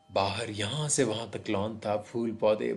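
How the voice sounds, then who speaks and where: A man's somewhat breathy voice, fairly low in pitch. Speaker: radio jockey, story narrator. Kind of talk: horror story narration in Urdu.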